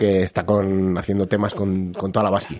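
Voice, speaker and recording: The man's voice has a dark, mellow tone. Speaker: podcast co-host. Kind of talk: casual chat.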